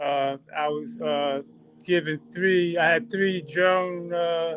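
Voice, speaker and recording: Noticeable background noise sits behind a man speaking at a very slow pace. His pitch is high, and his intonation is fairly even. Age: 60s. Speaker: drone pilot and instructor. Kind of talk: casual chat. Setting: video call. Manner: halting. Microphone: talking on phone.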